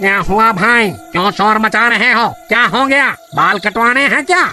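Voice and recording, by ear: Over clear background music, a man does a cartoonish character voice, high-pitched, raised and projected, at a moderate pace.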